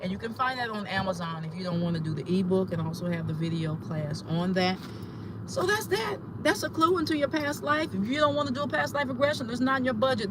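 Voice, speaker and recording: Talking at a very fast pace, a man with a high pitch makes very wide pitch swings, with audible room echo and noticeable background noise. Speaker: spiritual teacher and astrologer. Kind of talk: teaching talk. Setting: in a car, pulled over.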